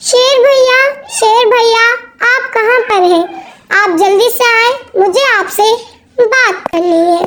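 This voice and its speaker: A cartoonish, female-sounding character voice, extremely high in pitch, fairly slow, with long, frequent pauses. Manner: polite, earnest.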